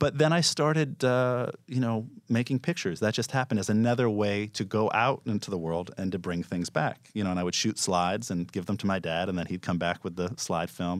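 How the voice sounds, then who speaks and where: In an unremarkable speaking voice with an American accent, a man speaks at a fairly quick pace and fairly low pitch, with hardly any pauses. The recording is very clean, with a silent background. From New York City (Manhattan). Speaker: street photographer. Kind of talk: casual chat.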